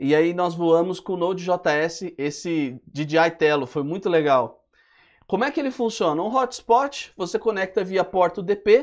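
Against a quiet background, a man with a high pitch and lively intonation speaks at a fairly slow pace. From Brazil. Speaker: web development instructor. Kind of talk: live webinar tutorial. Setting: live stream. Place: studio. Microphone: lapel.

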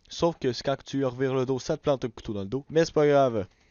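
At a fairly quick pace, a man with a Quebec accent talks in a fairly high pitch. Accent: Québécois French. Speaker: gaming YouTuber. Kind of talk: let's play commentary. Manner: animated.

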